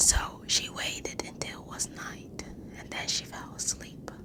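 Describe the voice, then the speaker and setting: Someone speaks in a whisper. Noticeable background noise is present. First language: not English. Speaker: ASMR storyteller. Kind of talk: improvised ASMR story; casual chat to viewers. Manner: whispering; halting, stumbling over words.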